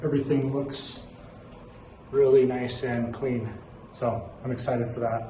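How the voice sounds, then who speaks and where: A man talks at a moderate pace and medium pitch with monotone, flat intonation. Audible room echo and noticeable background noise surround him. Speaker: van life vlogger. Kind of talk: casual vlog narration. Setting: outdoors at dump station. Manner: loud.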